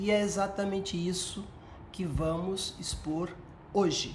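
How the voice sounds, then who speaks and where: With audible room echo around her, a woman speaks at a medium pitch and a very slow pace. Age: 60s. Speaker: retired police colonel and researcher. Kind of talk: educational talk.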